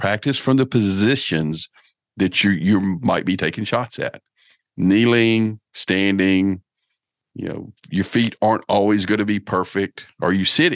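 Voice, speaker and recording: An ordinary speaking voice at a fairly slow pace, with ordinary pitch variation, a dry, close sound with no echo, and a quiet background. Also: man, fairly low pitch for a man. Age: 50s. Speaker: bowhunter and outdoor podcast host. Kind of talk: casual interview chat.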